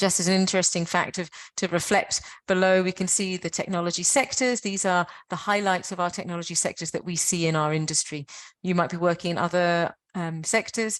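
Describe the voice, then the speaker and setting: A woman speaks in a British accent at a fairly low pitch. She moves at a fairly quick pace with fairly even intonation. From Britain. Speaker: webinar presenter for science and technology parks network. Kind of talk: webinar presentation. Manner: halting, with fillers.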